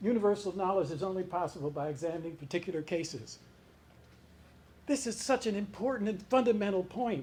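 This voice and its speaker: Lively intonation and a moderate pace from a man with a high voice. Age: 80s+. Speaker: lecturer. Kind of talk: lecture.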